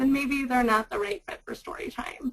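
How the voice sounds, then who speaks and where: A high-pitched female voice. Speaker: librarian. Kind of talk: webinar presentation. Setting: webinar. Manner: loud.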